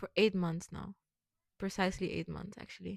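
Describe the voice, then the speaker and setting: The speaker has a Curaçao accent, heard in dry, close sound with no echo. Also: woman. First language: Papiamento. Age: 20s. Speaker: vlogger. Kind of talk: personal vlog monologue.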